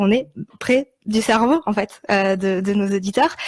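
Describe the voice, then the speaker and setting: The woman's voice is somewhat breathy, with ordinary pitch variation. The recording sounds dry and close, with no echo. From Switzerland. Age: 20s. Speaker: podcast producer. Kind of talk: interview.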